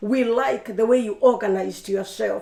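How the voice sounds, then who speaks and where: The voice has a dark, mellow tone with vocal fry. It moves at a moderate pace with fairly even intonation. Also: woman. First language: not English. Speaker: refugee campaigner. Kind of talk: radio interview.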